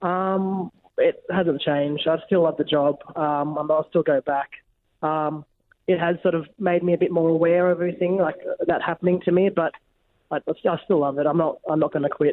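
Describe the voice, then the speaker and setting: With an Australian accent, a man speaks at a high pitch. His intonation is fairly even and his loudness very even. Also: moderate pace. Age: 20s. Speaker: firefighter. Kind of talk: interview. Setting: phone call. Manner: halting, many fillers.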